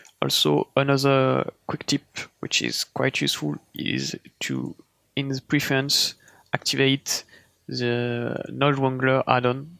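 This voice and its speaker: Speaking very slowly, a man talks in a French accent. The sound is dry and close, with no echo. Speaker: 3D artist tutorial creator. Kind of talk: tutorial. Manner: casual, hesitant.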